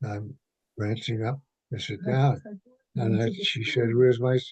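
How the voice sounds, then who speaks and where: A man's somewhat breathy, dark, mellow voice at a medium pitch and a fairly slow pace. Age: 80s+. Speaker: retired school principal and arts educator. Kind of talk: interview answer. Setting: phone line.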